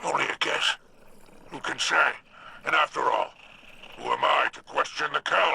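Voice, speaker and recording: At a moderate pace, a man performs a put-on character voice with long, frequent pauses. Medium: video game. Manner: sly, mocking, drawling.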